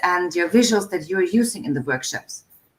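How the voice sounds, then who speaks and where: This woman's voice is medium in pitch. It has a somewhat breathy quality. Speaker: live stream host. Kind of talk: interview on a live stream. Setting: video call live stream. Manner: fast.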